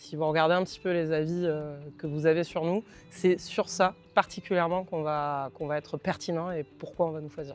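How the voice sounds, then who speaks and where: With a southern French accent, the speaker goes at a moderate pace while music plays in the background. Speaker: consulting firm representative. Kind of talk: company presentation.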